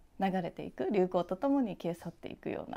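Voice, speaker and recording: Very wide pitch swings mark a woman's medium-pitched voice. Her tone is dark and mellow. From Japan, Yokohama; Japan. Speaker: visual artist; interviewee. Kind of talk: interview; interview answer. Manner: halting, many fillers. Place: workshop.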